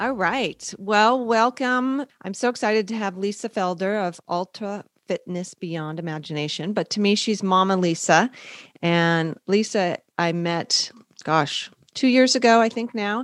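In a plain, everyday voice, a woman speaks fairly slowly at a medium pitch with ordinary pitch variation, the sound dry and close with no echo. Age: 50s. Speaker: podcast interviewer, founder of a modeling agency for older people. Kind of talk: interview.

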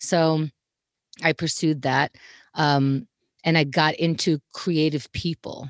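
A woman's very deep, low voice with a New York accent, dry and close with no echo, over a quiet background. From Queens, New York. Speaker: comedy talk show host. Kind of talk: casual interview. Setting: home closet.

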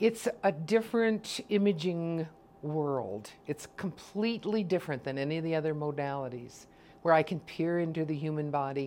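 At a moderate pace, a woman with a very deep, low pitch and a dark, mellow tone speaks with lively intonation. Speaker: ultrasound technologist. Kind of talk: interview clips.

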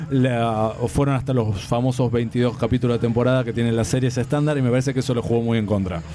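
At a very fast pace, a man with an Argentine accent speaks with a dark, mellow tone, medium pitch, fairly even intonation and very even loudness. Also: hardly any pauses. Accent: Argentine Spanish (Rioplatense). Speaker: comics commentator, DC advocate. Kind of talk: casual panel debate.

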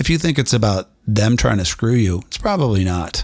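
The pitch swings very widely. Vocal fry runs through the voice. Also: man, very clean recording, silent background. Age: 50s. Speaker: inspirational podcast host. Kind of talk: motivational monologue. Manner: animated.

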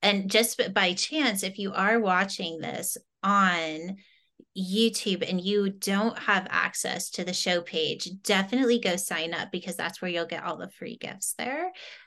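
A woman speaks with a plain, everyday voice at a medium pitch. Her pace is fairly slow, and her pitch varies in an ordinary way. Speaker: summit host. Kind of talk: casual interview.

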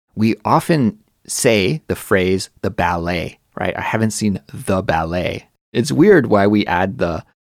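A man speaks very slowly in a fairly low pitch. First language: native English speaker. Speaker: podcast host, English teacher. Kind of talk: casual educational chat. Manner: clear, easy-to-understand speech.

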